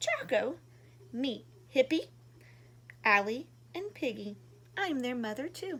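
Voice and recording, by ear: Using a put-on character voice, a woman speaks slowly in a high pitch, her fairly bright tone marked by big pitch swings.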